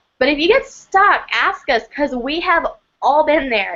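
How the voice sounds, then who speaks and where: A woman's speech at moderate speed. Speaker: aromatherapy co-host. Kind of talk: live webinar Q&A. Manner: loud.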